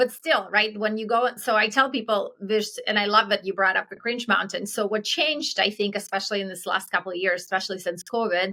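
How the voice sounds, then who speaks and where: A woman with an Eastern European accent and a bright, sharp tone speaks at a fairly quick pace and medium pitch, with ordinary pitch variation and hardly any pauses. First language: Eastern European language. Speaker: entrepreneur. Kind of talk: interview. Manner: fast; animated.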